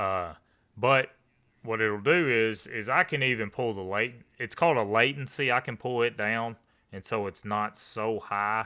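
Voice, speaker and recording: A man talks at a fairly slow pace with a Kentucky accent and ordinary pitch variation. His tone is bright and sharp, and the recording is very clean with a silent background. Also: medium pitch for a man. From Eastern Kentucky. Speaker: live streamer. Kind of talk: live stream chat with viewers. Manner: casual, conversational.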